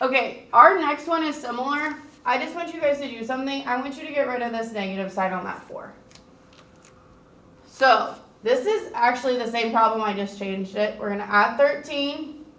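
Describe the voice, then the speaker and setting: With noticeable background noise and audible room echo, a woman speaks at a moderate pace in a high pitch, her intonation lively and her loudness swinging widely. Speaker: teacher. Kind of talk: recorded math lesson.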